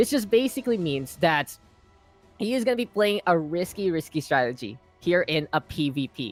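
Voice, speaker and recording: An animated man with a fairly high pitch, lively intonation and a fairly quick pace. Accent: Filipino. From Philippines. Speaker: esports caster. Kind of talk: live commentary.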